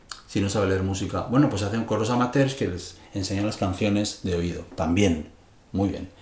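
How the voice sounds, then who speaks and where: Audible room echo surrounds a man whose speech moves at a moderate pace. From Spain, Madrid. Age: 60s. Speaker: music teacher and composer. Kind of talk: interview.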